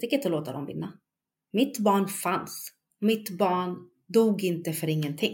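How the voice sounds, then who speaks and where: A woman with a somewhat breathy voice speaks with lively intonation and big swings in loudness. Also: medium pitch for a woman, fairly slow pace. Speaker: bereaved mother. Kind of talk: testimony.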